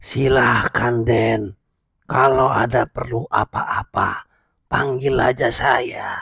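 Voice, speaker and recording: Using a raspy, put-on character voice, a man talks very slowly at a medium pitch with monotone, flat intonation. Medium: audio drama. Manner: curt.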